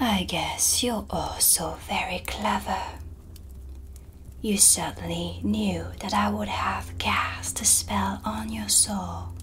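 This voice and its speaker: A soft-spoken woman puts on a character voice and talks at a very slow pace over noticeable background noise. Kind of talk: ASMR roleplay.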